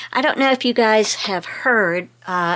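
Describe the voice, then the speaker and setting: Her tone bright and sharp, a woman speaks in a very clean recording with a silent background. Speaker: craft and lifestyle vlogger. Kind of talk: casual chat. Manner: conversational, with frequent fillers.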